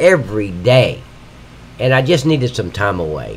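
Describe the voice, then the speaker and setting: Lively intonation from a man at medium pitch, a fairly slow pace, and noticeable background noise. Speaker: livestreaming game modder. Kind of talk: live stream tutorial. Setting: live stream at computer. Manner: casual, rambling with fillers.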